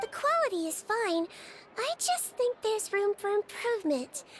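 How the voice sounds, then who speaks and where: A woman puts on a squeaky character voice at an extremely high pitch, speaking at a moderate pace. Background noise is clearly audible. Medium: game stream. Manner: calm, assured.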